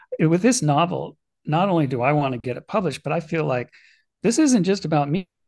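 With an ordinary speaking voice, a man talks at a moderate pace with lively intonation against a quiet background. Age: 50s. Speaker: author and retired middle school teacher. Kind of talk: interview.

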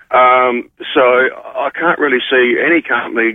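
A man speaks at a medium pitch. The sound is dry and close, with no echo.

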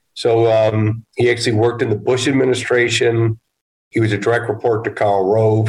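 A man with a medium pitch speaks fairly quickly in a somewhat breathy voice. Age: 50s. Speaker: real estate investment executive. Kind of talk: casual interview.

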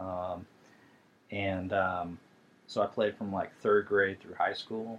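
A man's fairly low, monotone voice in an American accent, very slow with long, frequent pauses and big swings in loudness. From St. Louis, Missouri. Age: 50s. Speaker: youth soccer coach, podcast co-host. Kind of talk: casual chat.

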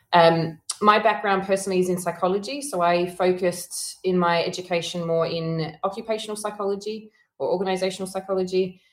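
With an Australian accent, a woman talks at a fairly quick pace in a medium pitch and fairly even intonation. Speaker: consultancy founder and CEO. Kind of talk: interview. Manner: hesitant, many fillers.

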